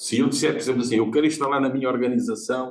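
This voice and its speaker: Talking very fast, a man lets his pitch vary in an ordinary way. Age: 70s. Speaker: audience member, lecturer. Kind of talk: seminar audience comment. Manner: animated.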